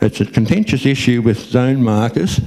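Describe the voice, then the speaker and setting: A man's medium-pitched voice with an Australian accent, fairly even intonation and a moderate pace. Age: 60s. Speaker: recreational fishing spokesperson. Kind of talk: public talk.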